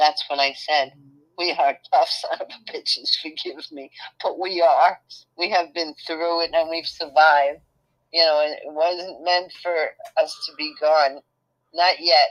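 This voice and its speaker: With a Brooklyn accent, a woman with a fairly low pitch talks in a monotone, flat intonation at a fairly slow pace, her loudness swinging widely and her speech broken by long, frequent pauses. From New York City (Brooklyn). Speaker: channel host's mother. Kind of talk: casual chat.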